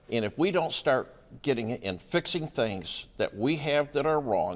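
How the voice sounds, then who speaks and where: Speaking at a moderate pace, a man with a fairly high pitch uses lively intonation and vocal fry. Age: 70s. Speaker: local politician. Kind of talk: news interview.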